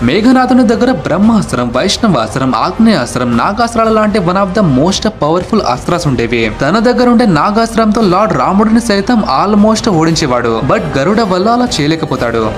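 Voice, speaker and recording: A man speaks in a high voice with very wide pitch swings and very even loudness, over noticeable background noise. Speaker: short-video narrator. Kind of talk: mythology facts narration.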